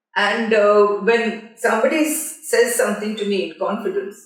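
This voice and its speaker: A woman is talking. Her voice carries audible room echo. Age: 70s. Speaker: film journalist. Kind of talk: interview. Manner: halting.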